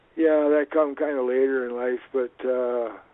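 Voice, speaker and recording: A man with a Canadian accent talks at a fairly slow pace, his pitch medium and his intonation fairly even. Noticeable background noise sits behind him. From Canada, Vancouver. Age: 70s. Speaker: retired reverend. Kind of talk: podcast interview. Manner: halting.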